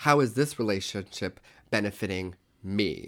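A man with an American accent has an ordinary speaking voice, fairly low in pitch with ordinary pitch variation. He talks at a fairly slow pace in a very clean recording with a silent background. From Oklahoma. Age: 30s. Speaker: podcast co-host, costume shop worker. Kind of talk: casual chat. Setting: home.

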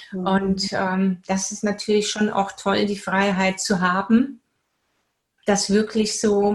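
At a very slow pace, a woman speaks in a medium pitch with a somewhat breathy quality. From Bavaria, Germany. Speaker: spiritual coach and teacher. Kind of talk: casual interview.

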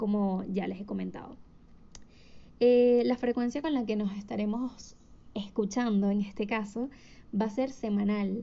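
Somewhat breathy, a woman with a fairly high pitch speaks at a moderate pace with ordinary pitch variation. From Venezuela, Caracas. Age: 20s. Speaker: podcast host. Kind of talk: solo podcast monologue. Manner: hesitant with fillers.

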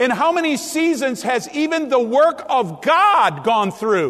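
Amid noticeable background noise and audible room echo, a man with an extremely high voice speaks at a fairly slow pace. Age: 60s. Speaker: pastor. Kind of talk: sermon. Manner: animated.

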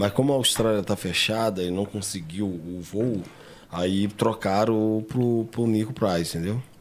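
A man with a normal speaking voice talks at a fairly slow pace. His pitch is fairly low and his intonation fairly even. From Três Rios, Rio de Janeiro state, Brazil. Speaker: martial arts coach. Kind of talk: casual interview chat.

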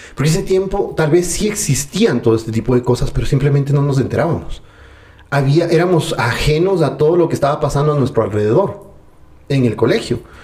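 This man has a normal speaking voice with a fairly high pitch. His intonation is lively and his loudness very even. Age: 30s. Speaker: personal development enthusiast. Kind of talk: casual interview conversation. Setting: at the guest's home.

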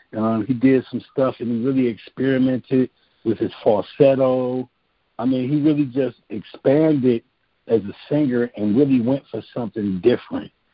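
This man has an ordinary speaking voice and an American accent, pitched at a medium level. He talks at a moderate pace with fairly even intonation. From Cleveland, Ohio. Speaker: songwriter and singer. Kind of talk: interview.

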